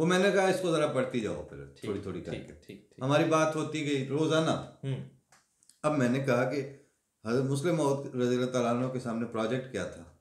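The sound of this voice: With lively intonation and vocal fry, a man speaks at medium pitch, his loudness swinging widely.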